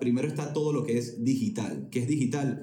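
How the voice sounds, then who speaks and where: Audible room echo surrounds a man's voice. His pitch sits in the medium range with ordinary variation. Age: 20s. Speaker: music entrepreneur. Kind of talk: casual chat.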